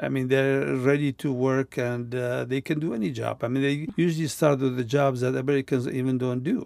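A man speaks with a Kurdish accent at a fairly quick pace. His intonation is monotone and flat. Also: medium pitch for a man. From Kurdistan. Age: 70s. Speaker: retired refugee and former teacher. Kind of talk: personal conversation recounting life story. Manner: halting.

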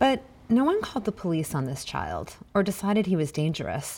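A woman's fairly low voice with vocal fry and very wide pitch swings. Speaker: podcast host. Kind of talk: narrated documentary-style podcast.

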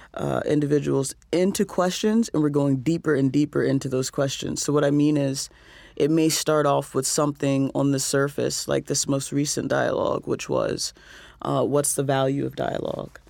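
On a very clean recording with a silent background, a woman talks at a moderate pace with very even loudness. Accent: American. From US South. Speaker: social worker and poet, nonprofit co-founder. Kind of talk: radio interview. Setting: studio.

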